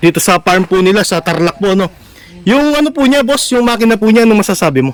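A man talking at a very fast pace. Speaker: vlogger showing a customized vehicle. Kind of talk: casual on-site vlog interview. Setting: outdoors at a vehicle body shop. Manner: animated.

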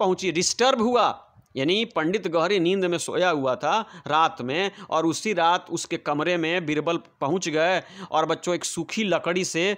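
His pitch moves with ordinary variation. The man's voice sits high. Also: quiet background. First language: Bhojpuri (speaking Hindi). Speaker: English teacher. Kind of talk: lesson explanation.

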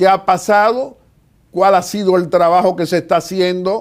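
A man with a high pitch. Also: quiet background. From Dominican Republic. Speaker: TV host and political commentator; TV host, political commentator. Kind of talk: TV interview and political commentary. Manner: formal. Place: office. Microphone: lapel.

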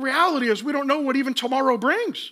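A man's extremely high-pitched voice, bright and sharp in tone, fast-paced with ordinary pitch variation

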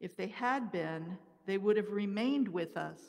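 A woman speaks at a fairly slow pace with a medium pitch. Her pitch variation is ordinary, and the background is quiet. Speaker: lector reading scripture and intercessions. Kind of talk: scripture reading aloud at mass. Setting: church. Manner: formal, steady, reverent. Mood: calm, measured liturgical reading. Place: church. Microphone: podium.

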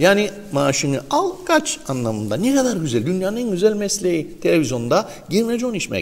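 The speech moves at a fairly quick pace, with very wide pitch swings. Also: man, high pitch for a man. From Northern Cyprus. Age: 50s. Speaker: morning show host. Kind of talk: morning show chat with ad reads. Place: studio. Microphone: lapel.

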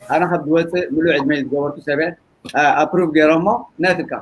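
Over light background noise, a man talks at a high pitch with ordinary pitch variation. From Eritrea. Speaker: political debate panelist; panelist. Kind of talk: debate discussion. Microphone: video call.

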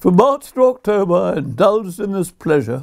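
A man with a southern English accent talks at a fairly slow pace over a quiet background. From southern England, Brighton; southern England. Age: 80s+. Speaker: poet. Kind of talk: reading aloud. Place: home room.

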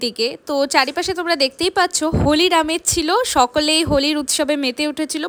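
This woman speaks at a high pitch and a fairly quick pace. Her tone is fairly bright, and her pitch variation is ordinary.

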